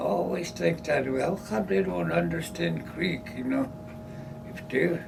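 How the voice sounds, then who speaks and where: A man's very deep, low voice with very wide pitch swings at a fairly slow pace, over noticeable background noise. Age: old. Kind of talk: interview answer. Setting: office. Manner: casual, conversational.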